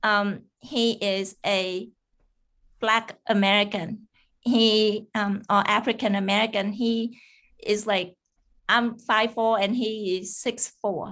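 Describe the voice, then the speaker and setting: A woman speaks very slowly in a Vietnamese accent, her fairly high voice flat and monotone against a quiet background. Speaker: cybersecurity engineer. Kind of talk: interview. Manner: halting, many fillers.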